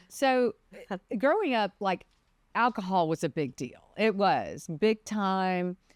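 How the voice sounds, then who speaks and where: A woman with a Mississippi accent, lively intonation, and a dry, close sound with no echo. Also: very clean recording, silent background. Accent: Southern (Mississippi). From Mississippi, US South. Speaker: defense attorney, former prosecutor. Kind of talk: podcast interview.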